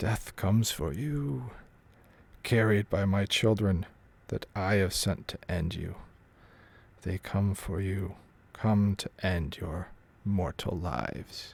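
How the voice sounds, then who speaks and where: A man in a put-on character voice speaks with a booming, fairly low pitch at a fairly slow pace, broken by long, frequent pauses. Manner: ominous, threatening.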